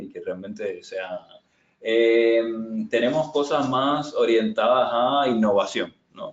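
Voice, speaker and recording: Here a man speaks with a Cuban accent. His pace is fairly slow. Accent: noticeable Cuban. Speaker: agile transformation consultant. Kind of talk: webinar presentation and Q&A. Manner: hesitant, many fillers and repetitions.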